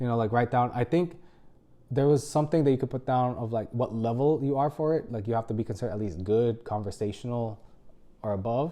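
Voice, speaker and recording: A man speaks at a fairly quick pace with a medium pitch, a dark, mellow tone and ordinary pitch variation. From Philippines. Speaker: medical resident and video creator. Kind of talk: casual tutorial. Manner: casual, many filler words.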